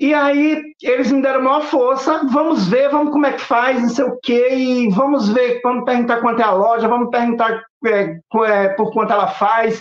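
At an extremely high pitch, a man talks at a moderate pace with ordinary pitch variation. His loudness stays very even. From Pernambuco and Ceará, Brazilian Northeast. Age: 40s. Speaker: artisan and YouTube craft creator. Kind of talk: casual interview chat. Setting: remote video call.

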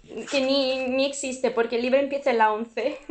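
A woman's high-pitched voice, monotone and flat. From southern Italy, Puglia. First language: Italian (speaking Spanish). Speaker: dating show participant. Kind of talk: casual chat. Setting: video call.

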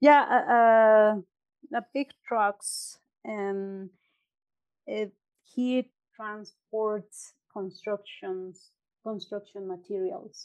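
A woman at a very slow pace, ordinary pitch variation, and long, frequent pauses. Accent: Mexican. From Mexico (Puebla, then State of Mexico). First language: Spanish. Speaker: entrepreneur and university graduate. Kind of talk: interview, casual chat. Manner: hesitant, some pauses and filler.

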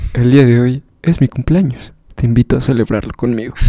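A man speaks at a medium pitch with a dark, mellow tone. The sound is dry and close, with no echo. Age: 20s. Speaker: podcast co-host. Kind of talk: casual chat. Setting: birthday party at home.

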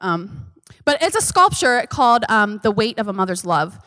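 Here a woman speaks with a bright, sharp tone. She uses lively intonation. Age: 30s. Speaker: church member speaker, mother. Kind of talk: church teaching. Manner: halting.

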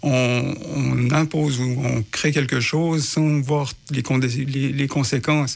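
Very slow and monotone, the flat delivery holds a very even loudness through noticeable background noise. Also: man, fairly high pitch for a man. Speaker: housing search support worker. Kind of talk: radio interview. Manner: hesitant, many fillers.

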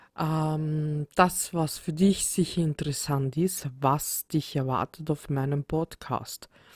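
A woman's very deep, low voice at a very slow pace, with hardly any pauses, in a dry, close sound with no echo and a very clean recording over a silent background. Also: fairly even intonation. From Austria, Vienna. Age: 30s. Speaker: podcast host. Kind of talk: solo podcast introduction. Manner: hesitant with many fillers.

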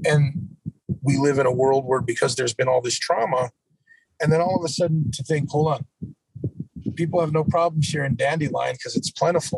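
A man's fairly high, unremarkable speaking voice, at a fairly quick pace with fairly even intonation. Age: 50s. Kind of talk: casual interview.

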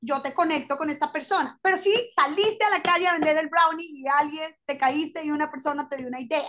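A woman with a high-pitched, bright, sharp voice talks at a fairly quick clip with hardly any pauses. Her pitch varies an ordinary amount. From Colombia. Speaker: lawyer turned fashion designer. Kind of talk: interview.

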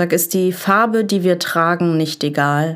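A woman's fairly low voice at a very slow pace with fairly even intonation, on a very clean recording with a silent background. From Essen, Ruhr area, Germany. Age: 20s. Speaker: poetry slam writer and social work student. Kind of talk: poetry slam performance.

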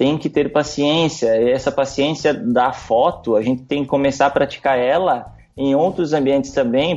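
A man speaks at a moderate pace in a plain, everyday voice, with a fairly high pitch and ordinary pitch variation. His loudness stays very even, with hardly any pauses. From Rio Grande do Sul, Brazil (interior town). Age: 20s. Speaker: wedding photographer. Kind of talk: podcast interview.

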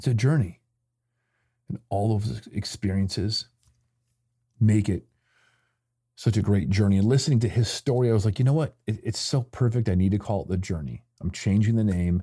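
In a very clean recording with a silent background, a man with an American accent speaks in a fairly low, dark, mellow voice that is somewhat breathy. His pitch varies in an ordinary way, and he leaves long, frequent pauses. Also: moderate pace. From Michigan, US Midwest. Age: 40s. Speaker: podcast host. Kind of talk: unscripted solo monologue.

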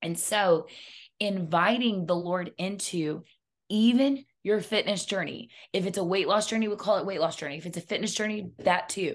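A woman speaks with a normal speaking voice, medium in pitch and with ordinary pitch variation. She keeps a moderate pace against a quiet background. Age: 40s. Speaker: health and wellness coach. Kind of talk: casual chat.

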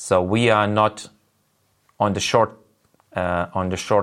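A man speaks at a fairly slow pace with long, frequent pauses. His fairly low voice keeps a monotone, flat intonation. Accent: Lithuanian. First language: Lithuanian. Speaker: business presenter. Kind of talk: online business presentation. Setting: video call webinar. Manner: halting with many fillers.

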